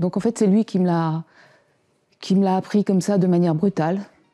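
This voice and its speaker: Against a quiet background, a woman speaks at a fairly quick pace in a medium pitch with a dark, mellow tone, fairly even intonation and a dry, close sound with no echo. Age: 60s. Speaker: Parkinson's patient. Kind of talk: testimony. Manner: halting.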